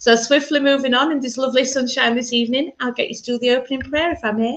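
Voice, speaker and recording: Speaking at a very fast pace, a woman uses a high pitch and fairly even intonation. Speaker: minister leading church service. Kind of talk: online church service.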